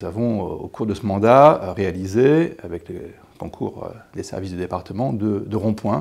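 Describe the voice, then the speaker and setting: A man's fairly low pitch rises and falls in an ordinary way as he speaks at a moderate pace. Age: 60s. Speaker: lawyer and local politician, election candidate; lawyer, local politician, election candidate. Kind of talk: campaign interview. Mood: calm, warm, confident. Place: studio.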